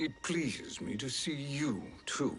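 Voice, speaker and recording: A man puts on a character voice at a fairly high pitch. He talks at a fairly slow pace over clear music in the background. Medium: short film.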